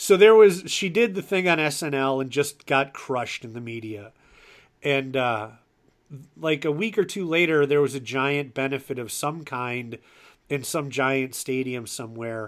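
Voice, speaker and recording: A man with an unremarkable speaking voice and a fairly high pitch talks at a fairly slow pace. His loudness swings widely, and the recording is very clean with a silent background. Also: lively intonation. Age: 40s. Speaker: podcast host. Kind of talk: casual interview chat.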